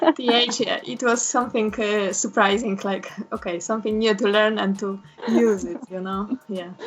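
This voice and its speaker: In a Polish accent, a woman with a fairly high pitch speaks at a moderate pace with ordinary pitch variation over noticeable background noise. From Poland. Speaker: interviewee, language learner. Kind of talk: casual interview chat. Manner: halting.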